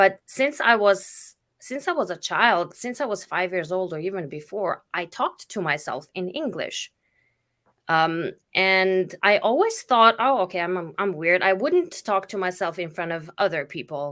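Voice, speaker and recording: With a Slovenian accent, a woman talks at a moderate pace in a medium pitch with lively intonation, on a very clean recording with a silent background. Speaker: spiritual facilitator. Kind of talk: casual chat. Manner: halting.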